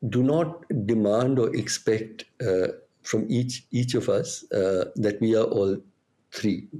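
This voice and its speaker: Moving at a very slow pace, a man speaks in a medium pitch with lively intonation. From India. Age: 60s. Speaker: activist. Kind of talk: interview. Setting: podcast recording. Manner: halting, many fillers.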